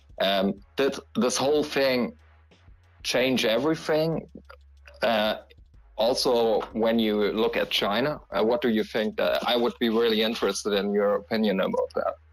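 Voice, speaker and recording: A man at a moderate pace and very even loudness, with music in the background. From Germany. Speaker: audience participant. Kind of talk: question from the audience. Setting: live Twitter Space. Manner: halting.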